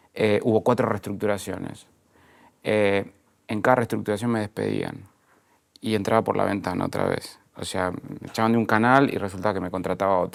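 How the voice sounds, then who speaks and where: The speech comes at a fairly quick pace in an Argentine accent. Intonation stays fairly even. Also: man, fairly low pitch for a man. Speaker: entrepreneur, media executive. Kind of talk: interview conversation. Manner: halting, many repetitions and fillers.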